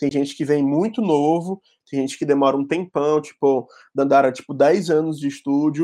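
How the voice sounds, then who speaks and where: This man's voice sits fairly high in pitch and has a dark, mellow tone, recorded against a quiet background. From Ceará, Fortaleza (Brazilian Northeast). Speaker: graphic designer. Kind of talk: casual chat.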